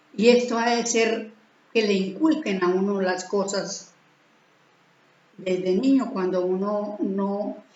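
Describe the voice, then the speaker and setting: A woman at medium pitch speaks at a very slow pace with ordinary pitch variation. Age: 70s. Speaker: spiritual teacher. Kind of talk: religious teaching talk. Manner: halting.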